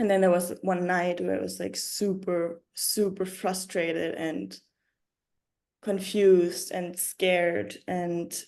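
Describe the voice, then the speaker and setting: A woman with a German accent speaks very slowly in a fairly low, dark, mellow voice. Her intonation stays monotone and flat. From Germany. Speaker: yoga teacher and writer. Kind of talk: interview. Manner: halting.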